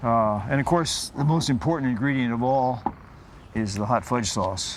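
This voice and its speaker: A man speaks at a medium pitch, with audible room echo. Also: ordinary pitch variation, moderate pace. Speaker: sailor. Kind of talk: casual show-and-tell; documentary interview.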